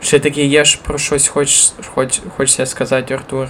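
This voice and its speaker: A man speaks at a moderate pace in a fairly high pitch, with noticeable background noise. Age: 20s. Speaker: podcast host, church worker. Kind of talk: casual chat.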